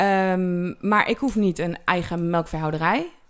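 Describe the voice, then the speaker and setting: On a very clean recording with a silent background, a woman speaks. Her pitch is medium and her intonation fairly even. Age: 20s. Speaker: dairy farmer and agricultural teacher. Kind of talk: interview. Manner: hesitant, with filler words; explanatory.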